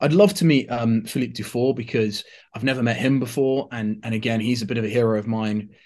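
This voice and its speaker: A man at a very fast pace, fairly low in pitch and fairly even in intonation, over a quiet background. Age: 30s. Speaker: writer and watch host. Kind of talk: casual interview chat.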